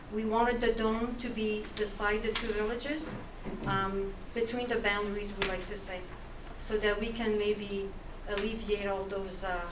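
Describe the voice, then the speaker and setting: Amid noticeable background noise and audible room echo, a woman speaks at a moderate pace and fairly high pitch with monotone, flat intonation. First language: French. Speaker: municipal staff presenter. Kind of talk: council presentation. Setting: council meeting room. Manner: halting, many fillers.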